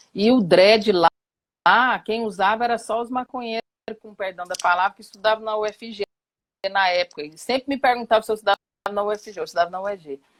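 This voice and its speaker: Speaking at a very fast pace yet with long, frequent pauses, a woman with a fairly high pitch shows ordinary pitch variation and big swings in loudness, in a dry, close sound with no echo. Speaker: professor and activist. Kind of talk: live talk. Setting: online live stream.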